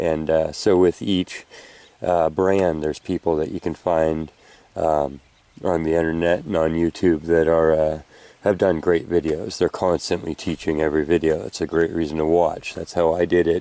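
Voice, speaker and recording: Mumbling in a very deep, low voice, a man speaks with a dark, mellow tone and monotone, flat intonation. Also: moderate pace. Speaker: metal detecting hobbyist. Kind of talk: outdoor tutorial vlog. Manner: casual, filler-heavy.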